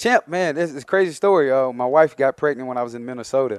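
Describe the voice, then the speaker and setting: Speaking at a very fast pace with an Alabama accent, a man shows ordinary pitch variation in a dry, close sound with no echo. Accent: Southern US (Alabama). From US South, Mobile, Alabama. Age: 30s. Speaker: professional football player. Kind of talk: interview.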